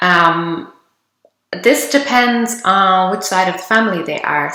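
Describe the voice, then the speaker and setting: Speaking at a very slow pace, a woman with an Irish accent has a medium pitch, lively intonation and a bright, sharp tone. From Ireland. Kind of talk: casual talk to camera.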